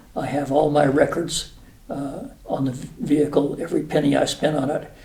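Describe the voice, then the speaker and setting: Audible room echo carries a man's dark, mellow tone. His pitch is fairly high and his intonation monotone and flat. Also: moderate pace. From New Mexico. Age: 70s. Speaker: retired air force officer. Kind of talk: casual interview. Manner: halting, many fillers.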